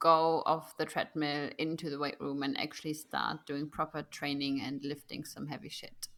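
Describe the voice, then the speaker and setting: A woman speaks fairly slowly with a German accent in a bright, sharp tone. The recording is very clean, with a silent background. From Germany. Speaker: nutritionist and coach. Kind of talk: casual podcast interview.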